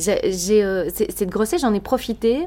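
Fairly slow pace from a woman. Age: 30s. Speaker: radio and TV presenter. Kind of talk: casual interview. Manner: energetic.

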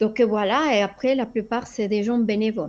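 A woman's fairly high voice with a Spanish accent and ordinary pitch variation. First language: Spanish (speaking French). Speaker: flight instructor. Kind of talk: interview. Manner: hesitant, many fillers.

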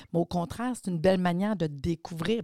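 Lively intonation comes through in a very clean recording with a silent background and a dry, close sound with no echo. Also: woman. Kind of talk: interview. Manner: animated.

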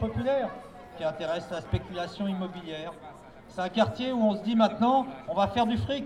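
A man's high-pitched voice with lively intonation at a moderate pace, amid noticeable background noise. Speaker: housing rights activist. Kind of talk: public speech. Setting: outdoors. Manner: halting.

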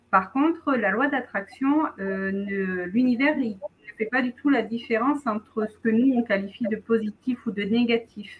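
A woman's fairly high voice with a slight southern French accent, at a fairly slow pace with ordinary pitch variation. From southern France, near Montpellier. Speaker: wellness practitioner and writer. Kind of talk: casual interview.

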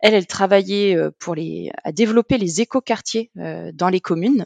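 In a dry, close sound with no echo, a woman talks at a medium pitch and a fairly slow pace, with ordinary pitch variation. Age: 30s. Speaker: public digital service deployment officer. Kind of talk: interview. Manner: hesitant, many fillers.

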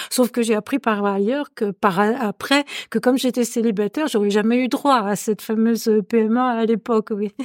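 A woman speaks at a moderate pace with a fairly high voice and fairly even intonation. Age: 60s. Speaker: retired career counsellor. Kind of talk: personal testimony. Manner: halting.

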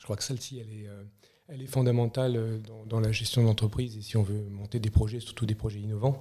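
In a medium pitch, a man speaks at a moderate pace. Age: 40s. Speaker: CEO of a family moving group. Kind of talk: podcast interview. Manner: halting, many repetitions.

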